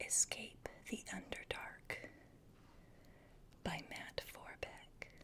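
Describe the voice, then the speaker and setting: Whispering from a woman. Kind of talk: ASMR role-play book reading. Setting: home recording with a cat in the background. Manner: soft-spoken, whispered.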